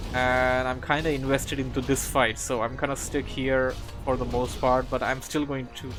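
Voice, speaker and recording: With music in the background, a man speaks at a medium pitch and a moderate pace. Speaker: esports game commentator (shoutcaster). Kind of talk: live game commentary, energetic casting.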